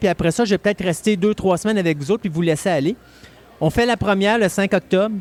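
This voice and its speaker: His voice sits high, with pitch that moves in a normal way. The recording is dry and close, without any echo. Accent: Quebec. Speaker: radio host. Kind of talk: casual chat.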